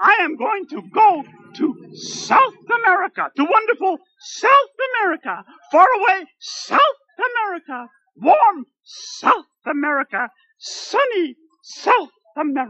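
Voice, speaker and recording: A cartoonish character voice at an extremely high pitch swings very widely in pitch while moving at a fairly slow pace. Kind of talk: comic puppet sketch. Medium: puppet show. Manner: polite, earnest, dreamy, wordy.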